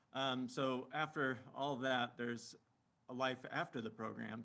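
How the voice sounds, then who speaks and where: Speaking quietly, a man keeps a medium pitch, a moderate pace and fairly even intonation. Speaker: librarian presenter. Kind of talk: webinar presentation. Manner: too quiet; halting, many fillers.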